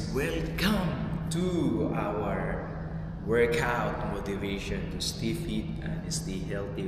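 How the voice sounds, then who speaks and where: Music sits in the background, and audible room echo colors the voice. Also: man. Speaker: fitness instructor. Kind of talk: workout intro talk. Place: gym. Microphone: camera far.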